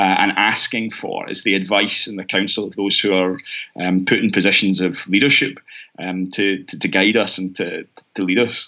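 Fairly low in pitch, a man speaks at a moderate pace with fairly even intonation. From Scotland, Glasgow east end. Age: 30s. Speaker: mission organisation rep and minister. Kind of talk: casual interview. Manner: halting, many fillers.

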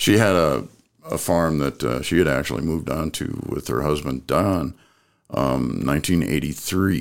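Speaking with an American accent, a man uses a very deep, low pitch with vocal fry, ordinary pitch variation and a moderate pace. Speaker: guest, agate photographer and former radio broadcaster. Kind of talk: casual interview.

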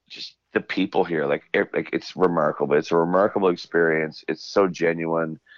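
Here a man speaks with a Newfoundland accent. His pitch is very deep and low. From Newfoundland, Canada. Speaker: country singer. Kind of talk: interview. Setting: remote call. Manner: animated.

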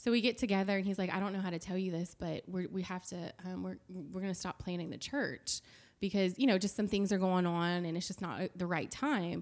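Speaking with a Louisiana accent at a fairly quick pace with hardly any pauses, a woman keeps a medium pitch and fairly even intonation in a very clean recording with a silent background. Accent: Louisiana Southern US. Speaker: church accounting director. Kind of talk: casual interview chat, testimony.

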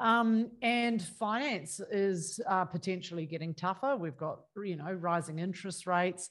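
At a fairly slow pace with hardly any pauses, this is an ordinary speaking voice with ordinary pitch variation. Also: woman, medium pitch for a woman. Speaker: podcast host and property investment coach. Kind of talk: casual interview.

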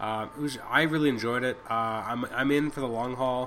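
Over noticeable background noise, a man talks at medium pitch with fairly even intonation. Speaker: podcast host, comic book reviewer. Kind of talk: solo review podcast. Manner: fast; halting, many fillers.

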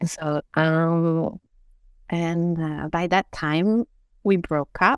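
A woman with a French accent at a very slow pace, her fairly low pitch and fairly even intonation in a dry, close sound with no echo. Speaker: osteopath. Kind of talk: interview. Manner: halting.

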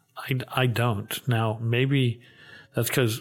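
Somewhat breathy, a man speaks at a medium pitch with fairly even intonation. The recording is very clean, with a silent background. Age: 60s. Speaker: bank CEO. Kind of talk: interview discussion on banking policy.

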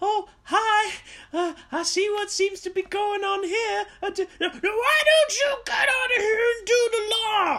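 A put-on character voice sits at an extremely high pitch. It goes at a very slow pace with hardly any pauses. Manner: overly happy and chirpy, turning angry.

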